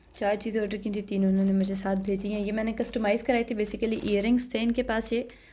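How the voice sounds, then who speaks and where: Her voice is fairly high, somewhat breathy, and dark and mellow in tone, as the woman speaks in a monotone, flat intonation with hardly any pauses. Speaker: beauty and product review vlogger. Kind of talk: product review vlog. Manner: casual, conversational.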